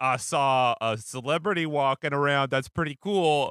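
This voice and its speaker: Speaking at a fairly slow pace, a man uses a normal speaking voice. His pitch is fairly high, with ordinary variation. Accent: American. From US Pacific Northwest. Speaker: comedy podcast host. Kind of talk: casual chat.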